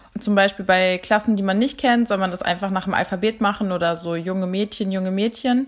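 An ordinary speaking voice moves at a fairly quick pace with fairly even intonation and hardly any pauses. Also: woman, medium pitch for a woman. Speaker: German teacher. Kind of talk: casual explanation.

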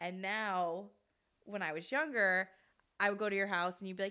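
A woman with an American accent speaks at a medium pitch in a bright, sharp tone. The recording is very clean, with a silent background. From New York City, Queens (College Point). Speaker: podcast co-host. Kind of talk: casual chat.

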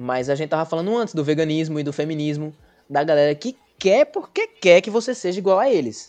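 An ordinary speaking voice, a man's, fairly high in pitch, at a fairly quick pace with lively intonation. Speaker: podcast host. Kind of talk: casual chat.

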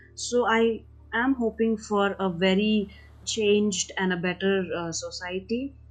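A woman speaks at a medium pitch with fairly even intonation and a fairly slow pace. Music plays in the background. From India. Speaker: activist and social worker. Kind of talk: interview about personal experience.

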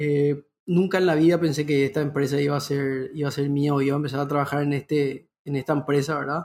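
A man speaks very fast in a fairly high, somewhat breathy voice, with flat, monotone intonation and hardly any pauses. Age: 30s. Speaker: entrepreneur. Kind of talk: interview.

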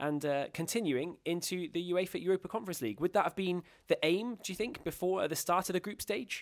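With an English accent, a man speaks at a very fast pace with hardly any pauses, high pitch and ordinary pitch variation, in a dry, close sound with no echo. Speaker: football podcast host. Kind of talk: casual chat. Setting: hotel room.

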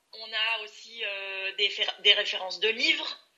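A woman speaks with a fairly high pitch. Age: 30s. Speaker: career changer, coaching client. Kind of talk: testimonial interview. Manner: hesitant, many filler sounds.

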